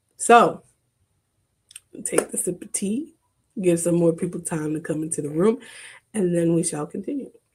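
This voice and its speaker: Quiet and somewhat breathy, a woman with a fairly low pitch and ordinary pitch variation talks at a moderate pace, with big swings in loudness and long, frequent pauses. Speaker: therapist and podcast host. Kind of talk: live stream monologue. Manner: quiet, straining to project.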